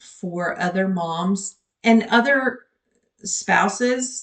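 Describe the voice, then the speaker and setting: A somewhat breathy woman's voice at medium pitch. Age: 50s. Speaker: nurse and postpartum depression vlogger. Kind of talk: personal vlog monologue. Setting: home office. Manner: stutters and rambles; hesitant, many filler words.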